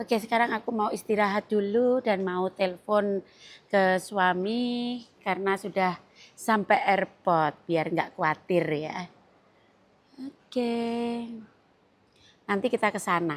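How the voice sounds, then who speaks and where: Very slow speech with ordinary pitch variation and long, frequent pauses. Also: woman, medium pitch for a woman. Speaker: vlogger. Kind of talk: travel vlog. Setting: airport.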